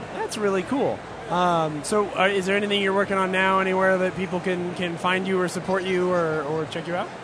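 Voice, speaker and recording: A fairly quick pace of speech, with noticeable noise behind it. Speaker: podcast interviewer. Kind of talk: casual interview. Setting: convention floor, recorded. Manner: casual, joking.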